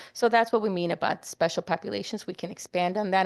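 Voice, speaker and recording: A woman's fairly low voice with ordinary pitch variation, in a dry, close sound with no echo and a quiet background. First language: not English. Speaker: committee presenter. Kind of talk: meeting presentation. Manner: halting.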